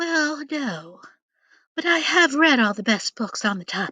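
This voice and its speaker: Someone puts on a high-pitched character voice at a moderate pace. The background is quiet. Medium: read story. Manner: polite, mild.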